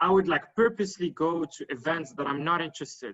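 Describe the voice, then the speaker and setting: A man speaks in a fairly high pitch. His pace is moderate and his pitch varies in an ordinary way. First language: French. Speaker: panelist on networking. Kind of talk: panel discussion. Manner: halting, many fillers.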